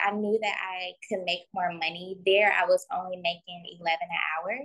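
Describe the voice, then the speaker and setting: A woman with a medium-pitched voice talks at a moderate pace in an unremarkable speaking voice. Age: 20s. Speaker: esthetician and spa owner. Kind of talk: casual interview.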